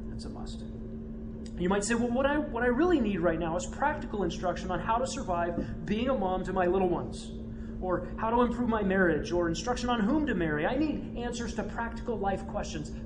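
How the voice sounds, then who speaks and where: A man barely pauses while noticeable background noise carries on behind him. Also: fairly quick pace. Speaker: church elder. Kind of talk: sermon-style teaching. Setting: church classroom with audience. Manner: fast.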